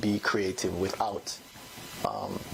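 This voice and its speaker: A fairly low-pitched male voice is heard with noticeable noise in the background. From Jamaica. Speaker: poet and author. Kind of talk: interview answer.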